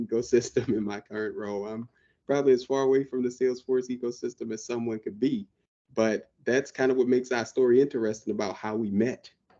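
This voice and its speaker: This man has a medium pitch and speaks with an American accent. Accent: Southern drawl, comes out when excited. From US South, New Orleans. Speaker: IT professional, podcast co-host. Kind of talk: casual chat. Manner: talkative.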